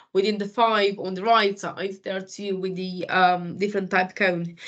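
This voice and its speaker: A woman speaks fairly slowly with a non-native accent at a medium pitch. Her intonation is monotone and flat, and the background is quiet. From Romania. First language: Romanian. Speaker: food industry supervisor. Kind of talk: interview. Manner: halting.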